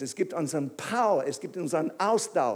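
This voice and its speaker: Speaking fairly slowly in an English accent, a man uses a high pitch with very wide pitch swings. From England. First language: English (speaking German). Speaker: pastor. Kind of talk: sermon. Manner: halting.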